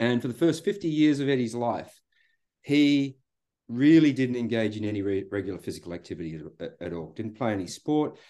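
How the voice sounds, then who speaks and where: Over a quiet background, a man with an Australian accent talks at a fairly quick pace and medium pitch, with a dark, mellow tone and very wide pitch swings. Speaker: psychology researcher and coach. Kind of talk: casual chat. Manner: halting, repeated words.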